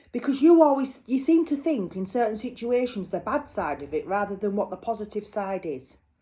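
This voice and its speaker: A woman with a Yorkshire accent, fairly high in pitch with very wide pitch swings, a dark, mellow and somewhat breathy tone, a fairly quick pace and hardly any pauses, over a quiet background. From northern England, North Yorkshire (Malton). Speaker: psychic medium. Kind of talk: psychic card reading. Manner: chatty, informal.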